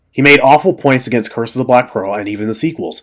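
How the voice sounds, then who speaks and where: Vocal fry runs through the voice in a very clean recording with a silent background. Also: man. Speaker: YouTube commentator. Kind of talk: comedic review response. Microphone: poor mic quality.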